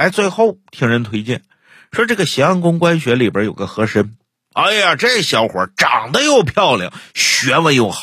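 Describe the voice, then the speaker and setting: In a very clean recording with a silent background, a man with a fairly high pitch and a bright, sharp tone speaks at a fairly slow pace, using very wide pitch swings and vocal fry. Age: 40s. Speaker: storyteller podcast host. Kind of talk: casual chat; storytelling narration.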